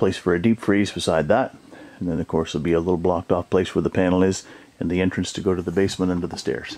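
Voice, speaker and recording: Very deep and low in pitch, a man speaks at a very fast pace in a monotone, flat intonation. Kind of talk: casual walkthrough narration. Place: home room. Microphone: phone near.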